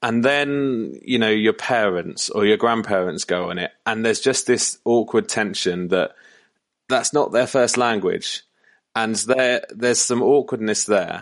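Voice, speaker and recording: With a British accent, a man speaks at medium pitch and a fairly slow pace, using ordinary pitch variation. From United Kingdom. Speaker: church communications consultant. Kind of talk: podcast interview.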